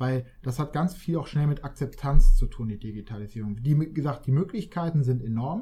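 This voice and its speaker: His tone is dark and mellow, somewhat breathy, pitched fairly high for a man. He speaks at a moderate pace with lively intonation and hardly any pauses. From northern Germany, Hamburg. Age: 20s. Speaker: digitalization consultant. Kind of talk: interview.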